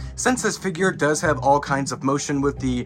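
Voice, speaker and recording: Over music in the background, a fairly high-pitched man talks at a fairly quick pace. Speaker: Halloween prop reviewer. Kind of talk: product unboxing and setup narration.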